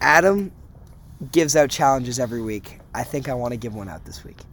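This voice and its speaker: Fairly quick speech from a man, with an American accent. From Massachusetts. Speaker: college student podcast host. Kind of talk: casual chat. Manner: animated.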